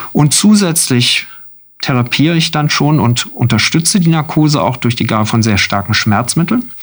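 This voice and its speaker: A somewhat breathy man's voice, fairly high in pitch, swings very widely in pitch while its loudness stays very even. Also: moderate pace. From southern Germany (Freiburg). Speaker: anaesthesiology chief physician. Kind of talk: radio interview.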